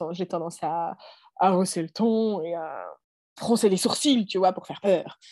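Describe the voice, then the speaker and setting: A woman with a dark, mellow tone speaks at a fairly slow pace, medium pitch and ordinary pitch variation, with long, frequent pauses. Her loudness swings widely against a quiet background. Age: 30s. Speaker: mother and health professional. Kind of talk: testimony. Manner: halting.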